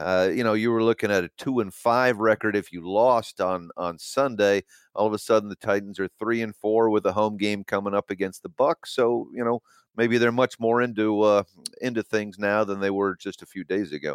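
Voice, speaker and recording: On a very clean recording with a silent background, a man speaks at a fairly low pitch and moderate pace. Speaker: sports beat writer. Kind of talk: casual interview chat. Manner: hesitant, many filler words.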